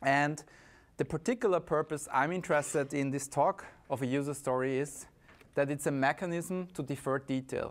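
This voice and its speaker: This man speaks with an Austrian accent at a fairly high pitch. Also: ordinary pitch variation, moderate pace, very clean recording, silent background. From Austria, Vienna. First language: German. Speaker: conference speaker, software consultant. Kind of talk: conference talk.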